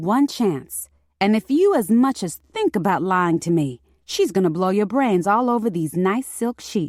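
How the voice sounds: Lively intonation in a natural reading voice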